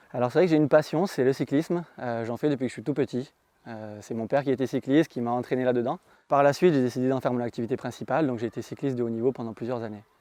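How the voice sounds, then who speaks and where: Against a quiet background, a man talks very fast at medium pitch with ordinary pitch variation. His tone is dark and mellow. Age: 30s. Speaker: real estate agent. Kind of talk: testimonial interview.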